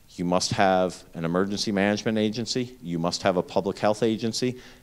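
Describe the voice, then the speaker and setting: Speaking in an eastern Pennsylvania accent, a man talks at a moderate pace with very deep, low pitch and ordinary pitch variation. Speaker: healthcare emergency preparedness executive. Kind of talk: lecture. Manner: loud.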